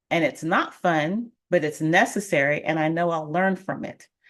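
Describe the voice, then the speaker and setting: A woman with an American accent talks at a moderate pace with ordinary pitch variation. It's a plain, everyday voice, heard against a quiet background. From Colorado. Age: 50s. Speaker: financial coach and realtor. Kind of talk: live stream talk. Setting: live stream.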